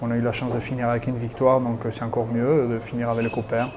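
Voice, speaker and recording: Over noticeable background noise and audible room echo, a medium-pitched man talks fairly quickly in a monotone, flat intonation. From French Basque Country, Hendaye. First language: Basque (speaking French). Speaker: retired rugby player. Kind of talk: interview. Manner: hesitant, many fillers.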